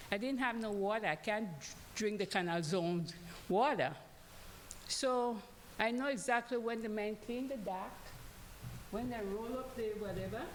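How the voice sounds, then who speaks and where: A woman speaks at a moderate pace with ordinary pitch variation, and audible room echo is present. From Panama. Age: old. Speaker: congregation member. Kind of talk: testimony. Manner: halting.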